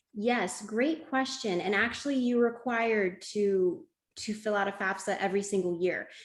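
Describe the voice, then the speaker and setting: A woman talks at a moderate pace in a normal speaking voice. Her pitch is fairly high, with ordinary pitch variation. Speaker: webinar presenter on college planning. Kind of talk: webinar presentation.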